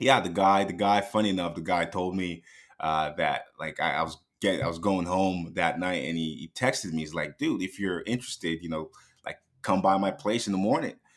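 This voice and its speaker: A man speaks with a very deep, low pitch. He goes at a fairly quick pace with ordinary pitch variation. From Nigeria, moved to Canada at about 14. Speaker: day trader and business owner. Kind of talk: podcast interview.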